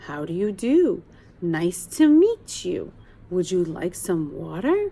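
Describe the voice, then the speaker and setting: A woman's put-on character voice at medium pitch and a fairly slow pace. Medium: read story. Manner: slow, careful, hesitant.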